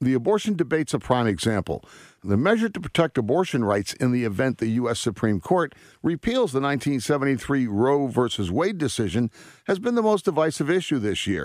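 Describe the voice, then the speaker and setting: A man with a medium-pitched voice talks at a fairly quick clip, his pitch swinging very widely, on a very clean recording with a silent background. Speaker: political analyst. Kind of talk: news commentary read aloud in formal newsreader style. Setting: radio studio. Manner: formal, measured, authoritative delivery.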